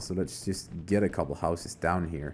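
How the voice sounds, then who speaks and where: A man speaks with a non-native accent. His pace is moderate. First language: not English. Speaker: gaming YouTuber. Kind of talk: let's play commentary. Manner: casual, thinking aloud.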